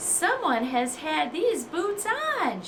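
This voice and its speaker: Over loud background noise, a woman growls in a put-on character voice pitched extremely high. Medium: read story. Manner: huffy, growly.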